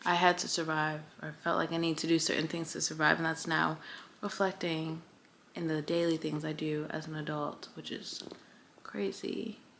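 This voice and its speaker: Soft-spoken delivery with fairly even intonation at a moderate pace. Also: woman, very deep, low pitch for a woman. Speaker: lifestyle vlogger. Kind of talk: casual chat. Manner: soft-spoken in person.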